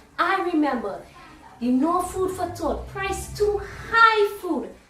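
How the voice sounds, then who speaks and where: Through audible room echo and noticeable background noise, a woman speaks at a very slow pace. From Trinidad and Tobago. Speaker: spoken word poet. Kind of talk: spoken word poetry. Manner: rhythmic.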